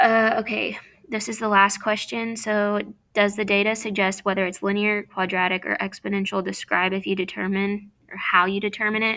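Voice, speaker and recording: The tone is bright and sharp. Intonation runs monotone and flat. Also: woman, medium pitch for a woman. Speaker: math teacher. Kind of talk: tutorial. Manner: fast.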